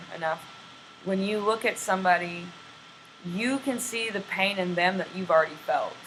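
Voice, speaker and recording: A woman with an American accent, heard over noticeable background noise. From Texas. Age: 30s. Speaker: homeless traveler. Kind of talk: interview. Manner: halting.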